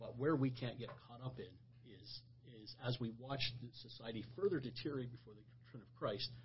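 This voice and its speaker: A somewhat breathy man with a medium pitch talks at a fairly quick pace, his intonation fairly even but his loudness swinging widely. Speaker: pastor. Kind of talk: religious discussion podcast. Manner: halting, repeats words.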